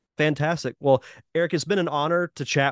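The speaker uses an unremarkable speaking voice at a fairly quick pace with fairly even intonation. The sound is dry and close, with no echo. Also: man. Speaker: podcast host. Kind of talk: casual interview chat.

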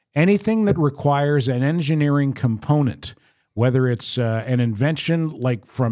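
At a moderate pace, a man talks in an unremarkable speaking voice of medium pitch with ordinary pitch variation. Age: 60s. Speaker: podcast host. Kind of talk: casual chat. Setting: studio.

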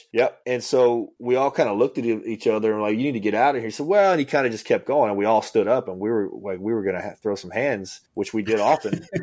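Very fast, almost pause-free Cajun-accented speech with ordinary pitch variation, on a very clean recording with a silent background. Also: man, medium pitch for a man. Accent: Cajun Louisiana English. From Louisiana Cajun country (Ville Platte). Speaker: former federal agent and author. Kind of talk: interview.

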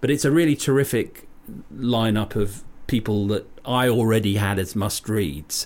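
A man talks in a plain, everyday voice with ordinary pitch variation. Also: fairly low pitch for a man, moderate pace. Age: 50s. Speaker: podcast co-host. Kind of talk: casual chat. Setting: studio.

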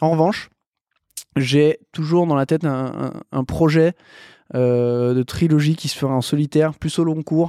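A man with a fairly high but dark, mellow voice speaks fairly slowly, with fairly even intonation and long, frequent pauses. The recording is dry, close and echo-free, very clean, with a silent background. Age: 30s. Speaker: mountaineer and mountain guide. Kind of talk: casual interview. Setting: by Lake Annecy, indoors.

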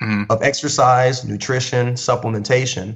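A man's voice comes across as somewhat breathy. He keeps a moderate pace and a fairly even intonation. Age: 30s. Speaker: fitness trainer and DJ. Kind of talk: casual chat.

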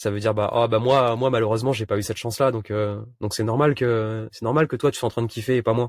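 A man speaks at a very fast pace in a medium pitch with fairly even intonation. The recording is very clean with a silent background, and the sound is dry and close with no echo. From Réunion. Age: 30s. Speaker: vanlifer and youtuber. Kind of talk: casual interview. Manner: halting, many repetitions and fillers.

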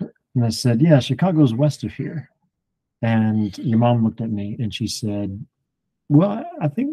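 At a moderate pace, a man speaks in a dark, mellow, somewhat breathy tone, with a medium pitch and ordinary pitch variation. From Alabama. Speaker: Bible teacher. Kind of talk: Bible study discussion.

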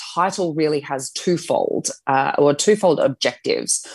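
A woman speaks in a normal speaking voice, fairly low in pitch. Her intonation is lively. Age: 30s. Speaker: author and health journalist. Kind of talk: casual interview.

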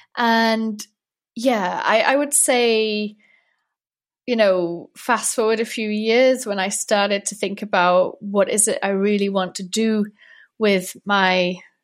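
A woman talks very slowly at a fairly high pitch. Her intonation stays fairly even. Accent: Welsh. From North Wales. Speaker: emotional intelligence coach. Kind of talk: interview conversation.

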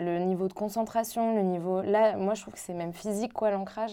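On a very clean recording with a silent background, a woman speaks at a moderate pace with a medium pitch, ordinary pitch variation and a dark, mellow tone. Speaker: comic book author. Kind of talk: casual group discussion.

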